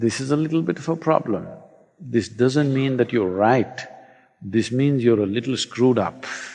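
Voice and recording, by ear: Someone is reading aloud in a natural voice. Their pitch varies in an ordinary way.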